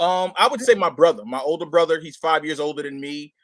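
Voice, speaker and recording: Recorded very cleanly against a silent background, a man with a New York accent talks with ordinary pitch variation. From Brooklyn, New York. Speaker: hip-hop artist. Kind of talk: interview. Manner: halting, many fillers.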